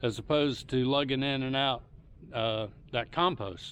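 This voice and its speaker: Relaxed in tone, a man with a Southern US accent speaks at a fairly high pitch with ordinary pitch variation. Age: 60s. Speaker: home gardener YouTuber. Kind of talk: casual tutorial. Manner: relaxed, hesitant with fillers.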